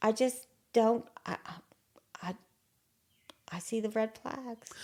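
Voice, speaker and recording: A woman's fairly high voice in an Appalachian accent, dark and mellow in tone, at a very slow pace. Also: fairly even intonation. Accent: Appalachian US Southern. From southern West Virginia. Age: 60s. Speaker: interview guest sharing life story. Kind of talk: casual interview conversation. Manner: short, plain replies.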